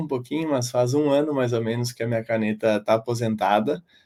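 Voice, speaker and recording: A man with a southern Brazilian accent speaks in a dark, mellow tone. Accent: gaúcho. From southern Brazil, Porto Alegre. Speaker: civil engineer, public auditor and exam-prep teacher. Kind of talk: interview.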